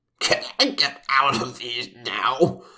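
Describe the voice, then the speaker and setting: In a put-on character voice, the speaker bellows and growls. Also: man, medium pitch for a man. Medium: read story.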